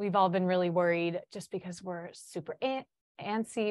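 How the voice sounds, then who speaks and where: A woman talks fairly quickly with a Chicago accent. Her medium-pitched voice keeps a fairly even intonation. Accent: Chicago American English. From US Midwest, Chicago. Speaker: student teacher. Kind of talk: podcast interview.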